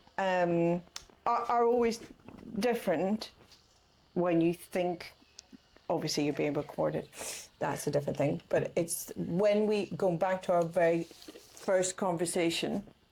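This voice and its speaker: A woman with a Northern Irish accent, medium pitch, fairly slow pace, very even loudness and long, frequent pauses. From Northern Ireland, Castlederg, County Tyrone. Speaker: artist. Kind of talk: casual chat. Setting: artist's studio.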